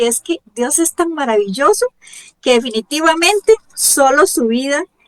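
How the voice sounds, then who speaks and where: In a Costa Rican accent, a woman speaks in an animated tone at a fairly slow pace. The sound is dry and close, with no echo. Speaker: radio show host. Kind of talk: religious radio program.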